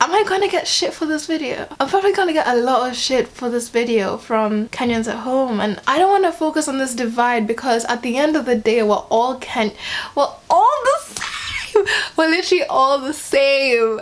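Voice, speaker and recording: Over noticeable background noise, a woman speaks at a moderate pace in a high, animated voice with lively intonation. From Kenya. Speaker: vlogger. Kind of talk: casual vlog commentary.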